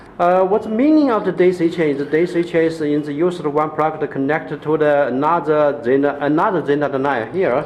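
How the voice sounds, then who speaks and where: Pitch varies in an ordinary way at a moderate pace. Noticeable background noise runs under the voice. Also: man. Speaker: LED grow light seller. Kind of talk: product demonstration. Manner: halting, many fillers and repetitions.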